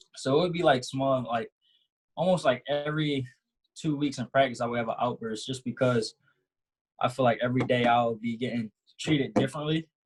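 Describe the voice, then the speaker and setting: A man's medium-pitched, somewhat breathy voice at a fairly quick pace, with long, frequent pauses, fairly even intonation and a dry, close sound with no echo. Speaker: college athlete. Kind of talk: panel discussion. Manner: halting.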